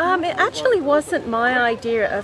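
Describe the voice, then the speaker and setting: A woman talks with an English accent. Music plays in the background, and room echo is audible. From England. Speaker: kangaroo farm owner. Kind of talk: interview. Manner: halting, many fillers.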